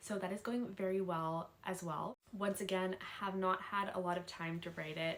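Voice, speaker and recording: This woman has an unremarkable speaking voice, medium in pitch, with fairly even intonation at a moderate pace. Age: 19. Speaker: YouTuber and college student. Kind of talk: casual advice vlog. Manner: casual, chatty.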